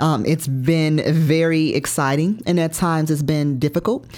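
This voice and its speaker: Her voice sits at a very deep, low pitch. The speaker is a woman. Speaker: life and health coach. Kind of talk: interview.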